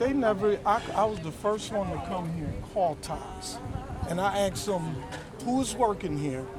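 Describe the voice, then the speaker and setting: A man with an American accent, high in pitch, lively in intonation, at a moderate pace, with audible room echo and noticeable background noise. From Buffalo, New York. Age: 60s. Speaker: contractor. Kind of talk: street interview.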